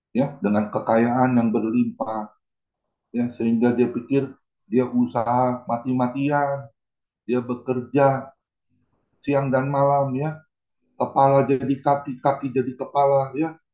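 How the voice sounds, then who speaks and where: The man's voice sits at a medium pitch with fairly even intonation. He speaks at a very slow pace. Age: 60s. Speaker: pastor. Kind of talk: sermon.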